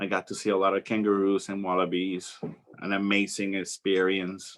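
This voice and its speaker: A man talks with a Spanish accent. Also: quiet background. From Puerto Rico. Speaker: flight attendant. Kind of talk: talk to students. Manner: halting.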